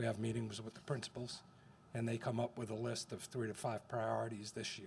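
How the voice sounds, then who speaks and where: Somewhat breathy, this voice goes along at a fairly quick pace. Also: man. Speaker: school district facilities staff. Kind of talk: board meeting presentation. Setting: school board meeting. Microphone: too quiet at first, moved closer to mic.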